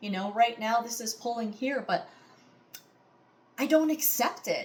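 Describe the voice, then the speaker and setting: A loud woman talks at a moderate pace in an animated tone. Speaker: audition speaker sharing illness story. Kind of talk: audition monologue. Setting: recorded to camera.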